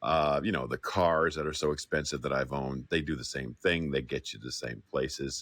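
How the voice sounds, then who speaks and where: A man with a very deep, low pitch and vocal fry talks at a moderate pace with hardly any pauses and ordinary pitch variation. The sound is dry and close, with no echo. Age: 60s. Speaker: audience member speaking up. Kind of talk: casual chat.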